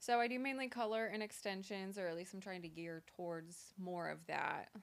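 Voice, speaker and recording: A woman with a plain, everyday voice and an American accent, medium pitch, ordinary pitch variation, and a moderate pace. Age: 20s. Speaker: hairstylist. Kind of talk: casual chat.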